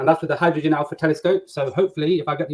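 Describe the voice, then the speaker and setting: Talking at a very fast pace with an English accent, a man with a fairly high pitch keeps his intonation fairly even in a dry, close sound with no echo. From England, Nottingham. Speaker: flat earth debater. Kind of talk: video call introduction.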